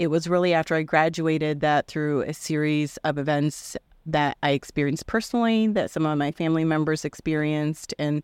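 In a Midwestern American accent, a woman with a very deep, low voice speaks at a moderate pace, the sound dry and close with no echo on a very clean recording with a silent background. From Iowa (Indianola). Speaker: artist and mentor. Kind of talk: interview.

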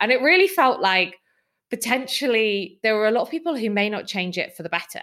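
With a Welsh accent and a bright, sharp tone, a woman talks at a fairly quick pace, her fairly high pitch making very wide swings. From South Wales. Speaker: nonprofit CEO and political campaigner. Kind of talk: interview.

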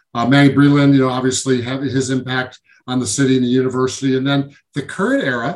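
A fairly high-pitched man with an American accent, talking at a fairly quick pace. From Syracuse, New York. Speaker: former college basketball player. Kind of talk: interview. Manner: halting, many fillers.

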